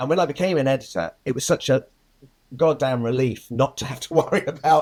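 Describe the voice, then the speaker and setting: With a fairly high pitch and ordinary pitch variation, a man talks at a very fast pace. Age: 60s. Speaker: film editor. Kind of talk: interview. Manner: repetitive, stammering starts.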